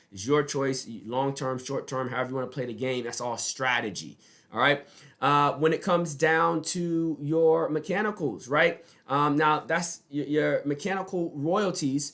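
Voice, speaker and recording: A man's fairly high-pitched voice with ordinary pitch variation, on a very clean recording with a silent background. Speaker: music business advisor. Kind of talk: advice video monologue. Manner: fast.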